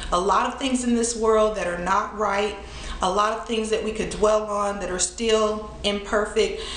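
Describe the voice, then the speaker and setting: Monotone, flat intonation runs at a moderate pace against audible room echo and light background noise. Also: woman. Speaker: thrift haul vlogger. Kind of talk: casual vlog chat. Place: home room.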